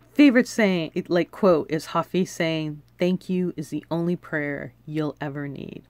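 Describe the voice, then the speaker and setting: Dry, with no echo, a woman's voice shows big swings in loudness and ordinary pitch variation at a fairly slow pace. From Los Angeles, US. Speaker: wellness video blogger; self-care vlogger. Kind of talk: casual monologue to camera; casual vlog chat. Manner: casual, with laughs and fillers. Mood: warm, encouraging. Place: home room. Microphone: phone near.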